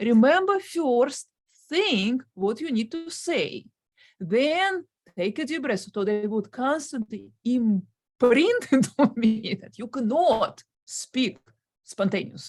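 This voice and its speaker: With a Russian accent, a woman talks at a very slow pace in a high pitch, her voice making very wide pitch swings. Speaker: guest on stuttering channel. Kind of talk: interview. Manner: stutters.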